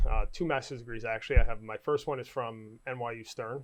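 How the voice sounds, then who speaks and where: In a New York accent, a man talks at a medium pitch with fairly even intonation against a quiet background. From Staten Island, New York. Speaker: town councilman and adjunct professor. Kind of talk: candidate interview.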